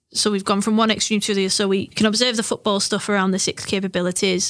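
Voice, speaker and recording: A flat, monotone delivery in an English accent at a fairly quick pace, with a dry, close sound and no echo. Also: woman. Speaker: football coach developer. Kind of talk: interview. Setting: studio.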